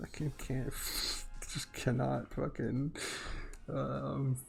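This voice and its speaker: A man speaks at a very slow pace. He is soft-spoken. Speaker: digital artist streamer. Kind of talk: casual live stream chat. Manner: low volume.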